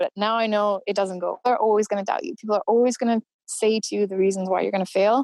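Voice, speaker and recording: This woman speaks at a very fast pace with fairly even intonation and a medium pitch. The sound is dry and close, with no echo. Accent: Canadian. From Canada. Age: 30s. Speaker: endurance runner and adventurer. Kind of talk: podcast interview.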